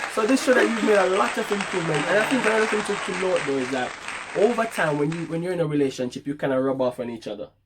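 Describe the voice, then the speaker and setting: Over crowd noise, a man speaks loudly and very fast in a high voice with very wide pitch swings. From Jamaica. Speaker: vlogger. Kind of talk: casual chat.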